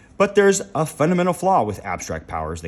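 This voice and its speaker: A man in a put-on character voice talks very fast, his high-pitched delivery croaky and raspy. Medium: read story. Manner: condescending, lecturing.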